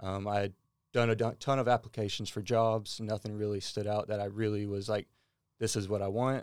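A man's fairly low, monotone voice with flat intonation at a fairly quick pace, on a very clean recording with a silent background. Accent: Texan. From US South, small-town Texas near Houston. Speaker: departing marketing employee. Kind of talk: casual chat.

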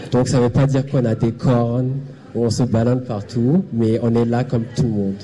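Over noticeable background noise, a man at medium pitch talks at a fairly quick pace, with very even loudness and fairly even intonation. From Burundi, raised partly in Zimbabwe. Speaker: panelist, community service worker. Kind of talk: panel discussion. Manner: halting.

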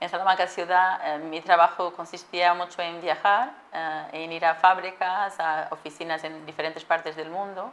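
A woman at a moderate pace and fairly low pitch, over noticeable background noise. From Portugal. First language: Portuguese (speaking Spanish). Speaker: supply chain manager. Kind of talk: interview.

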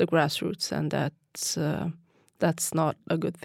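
At a very slow pace, a woman talks in a fairly low voice. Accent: non-native. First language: not English. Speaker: city council politician. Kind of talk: radio interview. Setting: studio. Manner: halting.

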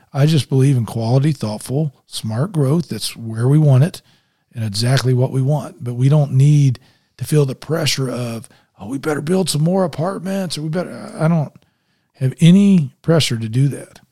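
A man with a Midwestern American accent, fairly high in pitch and somewhat breathy, with a dark, mellow tone, moderate pace and ordinary pitch variation, on a very clean recording with a silent background. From Indianapolis, Indiana. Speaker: mayoral candidate, former football coach. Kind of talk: interview. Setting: studio.

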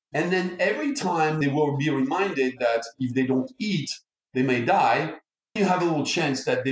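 Intonation here is lively, at a moderate speed. It is a normal speaking voice. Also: man. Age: 60s. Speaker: neuromarketing expert. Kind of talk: interview.

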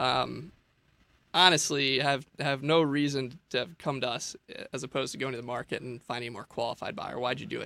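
A man's medium-pitched voice, bright and sharp in tone, at a fairly quick pace. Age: 20s. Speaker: real estate investor. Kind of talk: interview.

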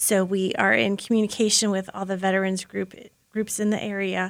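A woman talks at medium pitch and a moderate pace. She has an ordinary speaking voice. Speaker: program organizer. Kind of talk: casual interview chat.

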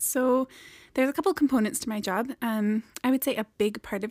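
A soft-spoken woman talks at a fairly quick pace with ordinary pitch variation, her voice dry and close with no echo on a very clean recording with a silent background. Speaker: homeless shelter director. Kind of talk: casual chat.

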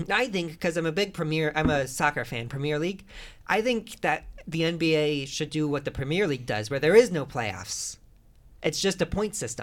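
On a very clean recording with a silent background, a man with an ordinary speaking voice and an American accent talks at a moderate pace, his pitch fairly high and his intonation lively. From Northwest Indiana, US Midwest. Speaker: podcast host. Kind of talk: casual comedic chat.

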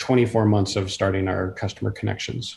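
A man with an American accent speaks in a dark, mellow, somewhat breathy tone with monotone, flat intonation. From US Pacific Northwest, Washington State. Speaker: city council member and network engineer. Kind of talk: interview.

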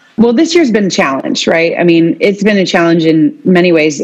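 Against noticeable background noise, a woman with an American accent talks at a medium pitch and fairly quick pace with lively intonation. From Iowa, US Midwest. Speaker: small business founder telling stories of women in agriculture. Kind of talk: casual interview chat.

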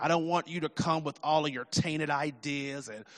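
Against a quiet background, a man speaks at a fairly quick pace with a fairly high pitch. He has a plain, everyday voice. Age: 50s. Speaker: pastor. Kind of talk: sermon.

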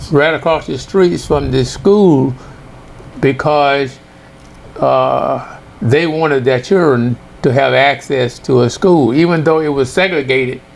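Noticeable background noise sits under speech that moves at a fairly slow pace with ordinary pitch variation. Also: man, fairly high pitch for a man. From US South, northwest Louisiana (Mansfield). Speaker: retired professor. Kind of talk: life story interview.

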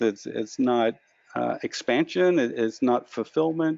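A man talks at a fairly slow pace and a medium pitch. His intonation is lively. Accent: American. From US Midwest, Kansas. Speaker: author on lucid dreaming. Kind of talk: interview. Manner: halting, repeats words.

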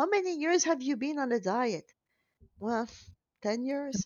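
In a French accent, a woman speaks at a fairly slow pace with lively intonation. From Belgium. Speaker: weight loss program founder. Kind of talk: interview. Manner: hesitant, many fillers.

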